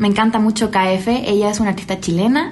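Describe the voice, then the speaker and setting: A woman's fairly high voice at a moderate pace, with audible room echo and noticeable background noise. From Chile. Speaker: singer and rapper. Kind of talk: casual interview chat.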